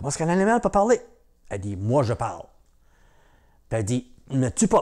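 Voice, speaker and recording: Against a quiet background, a man with a fairly high voice talks at a moderate pace, his pitch swinging very widely. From Newfoundland, Cap-Saint-Georges (Franco-Newfoundlander); Newfoundland. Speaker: storyteller. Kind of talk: oral storytelling. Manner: hesitant, many fillers. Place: home room.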